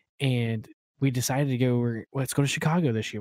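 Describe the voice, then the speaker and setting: Speaking at a very fast pace, a man uses an American accent. His pitch is medium and his intonation fairly even. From Oklahoma. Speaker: podcast co-host and insurance agent. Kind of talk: casual chat.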